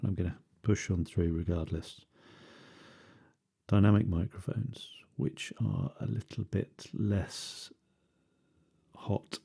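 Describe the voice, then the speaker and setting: Soft-spoken and somewhat breathy, a man with a British accent talks in a dark, mellow tone with lively intonation. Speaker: ASMR creator. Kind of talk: ASMR ramble.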